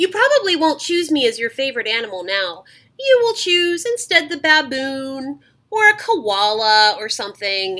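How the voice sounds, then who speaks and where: A woman uses a put-on character voice, high-pitched with very wide pitch swings, at a moderate pace. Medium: read story. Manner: charming, self-assured.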